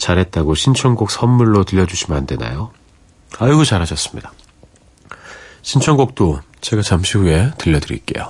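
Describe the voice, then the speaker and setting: At a moderate pace, the somewhat breathy voice swings very widely in pitch and breaks into long, frequent pauses. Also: man, very deep, low pitch for a man. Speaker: radio DJ. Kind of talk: late-night radio show. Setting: radio studio. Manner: warm, gentle storytelling.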